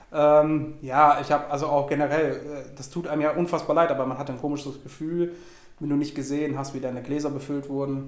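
A man's fairly high, monotone voice with flat intonation, at a fairly quick pace, with audible room echo. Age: 20s. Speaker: podcast guest. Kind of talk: casual chat. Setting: recorded in a cigar shop.

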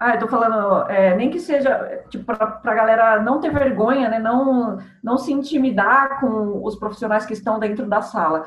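A woman with a São Paulo accent and ordinary pitch variation, over noticeable background noise. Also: fairly high pitch for a woman, moderate pace, hardly any pauses. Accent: Brazilian Portuguese, São Paulo. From Santo André, São Paulo, Brazil. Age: 30s. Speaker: marketing agency owner. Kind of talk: casual interview.

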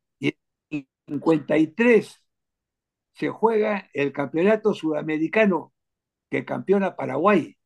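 A man with fairly high pitch and ordinary pitch variation speaks at a very slow pace with long, frequent pauses, in a dry, close sound with no echo. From Peru. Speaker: football historian and collector. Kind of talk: interview.

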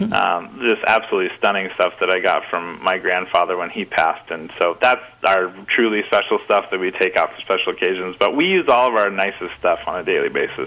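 Noticeable background noise accompanies words that come out at a very fast pace. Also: man. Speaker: chef. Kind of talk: casual interview chat. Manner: relaxed, conversational.

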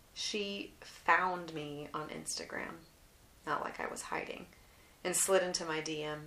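A woman's relaxed tone, fairly low in pitch with fairly even intonation, with audible room echo and noticeable background noise. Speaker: artist and memoir podcaster. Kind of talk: casual monologue and memoir reading. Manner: relaxed, unhurried.

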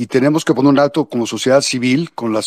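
A man's plain, everyday voice, fairly even in intonation, in a dry, close sound with no echo. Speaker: anti-corruption activist. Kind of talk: political statement in online discussion.

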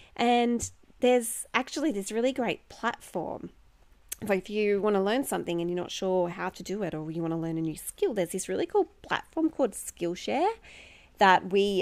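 With an animated tone and lively intonation, a woman talks at a moderate pace and medium pitch. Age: 30s. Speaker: life coach and chair yoga teacher podcast host. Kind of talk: casual solo podcast monologue. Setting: at home. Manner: animated, frequent laughter.

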